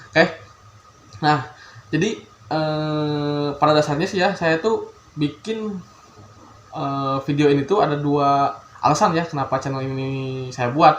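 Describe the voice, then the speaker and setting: At a fairly slow pace, a man with a slight Sundanese accent speaks in a fairly high voice, leaving long, frequent pauses. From Bandung, West Java, Indonesia. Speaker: youtuber, electrical engineering graduate. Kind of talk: casual vlog introduction. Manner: hesitant, many fillers.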